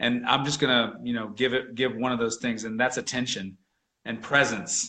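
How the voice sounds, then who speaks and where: A loud man speaks with a bright, sharp tone. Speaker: real estate agent. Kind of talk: casual interview chat. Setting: live video stream. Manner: halting, many repeated words.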